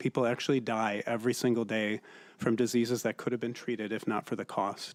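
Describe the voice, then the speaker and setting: With a silent background and a very clean, dry, close sound with no echo, a man speaks at medium pitch in a monotone, flat way at a fairly quick pace. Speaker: emergency physician. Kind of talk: testimony. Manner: fast.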